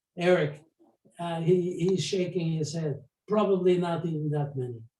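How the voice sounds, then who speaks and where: Audible room echo surrounds a man whose high-pitched voice has a dark, mellow tone, fairly even intonation and a moderate pace. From Poland (today western Ukraine). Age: 80s+. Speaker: Holocaust survivor. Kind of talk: testimony and Q&A. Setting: video call. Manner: halting.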